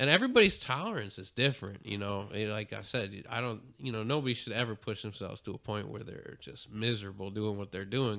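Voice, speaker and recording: Against a silent background in a very clean recording, a man speaks fairly quickly. He has a plain, everyday voice, fairly low in pitch, with ordinary pitch variation. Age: 30s. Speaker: podcast co-host. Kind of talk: casual chat. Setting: studio.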